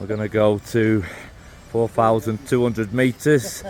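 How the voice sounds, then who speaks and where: A man speaks in a Mancunian accent. He keeps a fairly slow pace and fairly even intonation. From northern England, Manchester. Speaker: travel vlogger. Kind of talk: casual vlog commentary. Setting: outdoors on a hiking trail.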